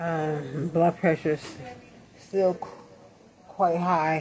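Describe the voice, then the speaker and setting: Against noticeable background noise, a woman talks fairly slowly in a very deep, low voice with flat, monotone intonation. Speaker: vlogger recovering from stroke. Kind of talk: video diary. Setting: hospital room. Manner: halting.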